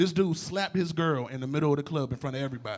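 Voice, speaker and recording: A man at a very fast pace in a very clean recording with a silent background. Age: 20s. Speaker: comedian. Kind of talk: stand-up. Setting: stage with audience. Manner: loud.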